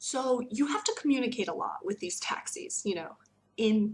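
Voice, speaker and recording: In an American accent and a plain, everyday voice, a woman talks at a moderate pace with a fairly high pitch and lively intonation. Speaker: teacher. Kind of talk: casual vlog talk.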